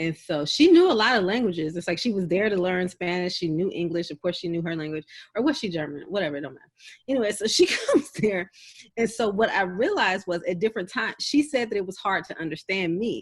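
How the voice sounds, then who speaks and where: A very fast, medium-pitched woman's voice in a Southern accent, with lively intonation and big swings in loudness. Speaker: podcast co-host. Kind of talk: casual chat.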